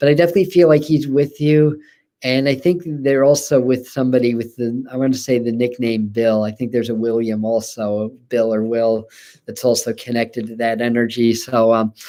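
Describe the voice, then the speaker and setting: A man talks at a fairly quick pace in a dark, mellow tone. His medium pitch shows ordinary variation. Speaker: spiritual medium. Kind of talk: live mediumship reading. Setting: livestream. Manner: fast.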